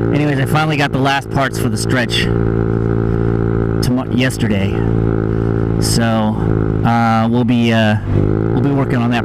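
A man speaks at a moderate pace with long, frequent pauses, his dry, echo-free sound set against loud background noise. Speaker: scooter rider vlogger. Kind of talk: casual vlog chat. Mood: joking, relaxed. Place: motorbike. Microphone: helmet.

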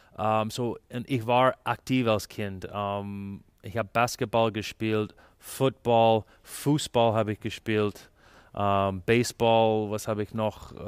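In a Canadian English accent, a man talks at a very slow pace with monotone, flat intonation and a fairly low pitch on a very clean recording with a silent background. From Canada. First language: English (speaking German). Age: 40s. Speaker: ice hockey sports director. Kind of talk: interview. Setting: arena. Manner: halting, many fillers.

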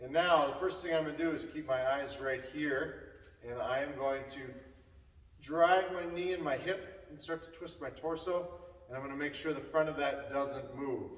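A man talks at a moderate pace with fairly even intonation. The room adds audible echo. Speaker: hitting coach. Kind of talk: tutorial. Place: workshop.

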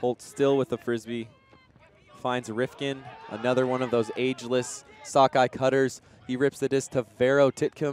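A man speaks at a moderate pace with a medium pitch. His intonation is monotone and flat, with noticeable background noise. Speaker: sports commentator. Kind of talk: live sports commentary.

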